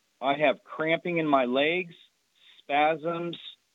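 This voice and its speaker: A man's fairly high-pitched voice keeps a fairly even intonation. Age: 50s. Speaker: caller. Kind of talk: phone-in question.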